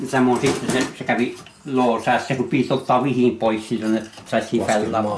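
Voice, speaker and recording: Over noticeable background noise, a man with a Tornedalen accent talks at a moderate pace and medium pitch, his intonation monotone and flat and his loudness very even. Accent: local Meänkieli dialect. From Norsivaara, near Gällivare, Swedish Torne Valley. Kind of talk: interview answer.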